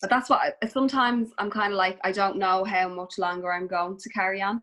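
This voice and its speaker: A woman speaks with a Dublin accent. Her pace is fairly quick and her intonation fairly even. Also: medium pitch for a woman. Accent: noticeable Dublin. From Dublin, Ireland. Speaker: Instagram influencer and mother. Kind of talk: casual chat.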